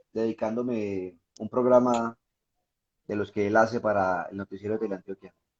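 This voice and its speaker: The speaker has a Pereira accent and a moderate pace. The sound is dry and close, with no echo. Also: man. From Colombia, Pereira. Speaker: reporter and writer. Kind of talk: casual interview. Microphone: sounds far away.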